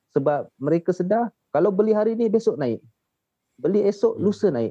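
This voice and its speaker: A man speaks with lively intonation. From Malaysia, Shah Alam, Selangor. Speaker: gold saver. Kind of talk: casual chat.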